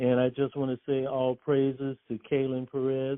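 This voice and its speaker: The man speaks at a medium pitch. His pace is moderate. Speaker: comic artist and convention founder. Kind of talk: casual interview. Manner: stumbling, animated.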